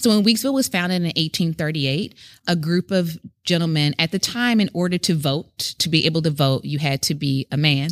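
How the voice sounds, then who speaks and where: In a very clean recording with a silent background and a dry, close sound with no echo, a woman with an American accent and a very deep, low pitch speaks at a fairly quick pace with ordinary pitch variation. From US South, Memphis, Tennessee. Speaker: educator at a heritage center. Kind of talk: historical storytelling; casual conversation. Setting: on location at a historic site.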